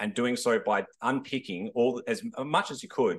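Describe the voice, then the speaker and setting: In an Australian accent, a man speaks at a medium pitch. His intonation is lively. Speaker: historian panellist. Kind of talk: panel discussion.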